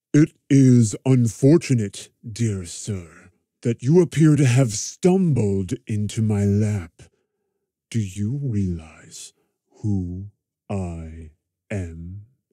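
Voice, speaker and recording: A man with a fairly low pitch and lively intonation, at a very slow pace with long, frequent pauses, in a dry, close sound with no echo and a very clean recording against a silent background. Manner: menacing, coolly polite.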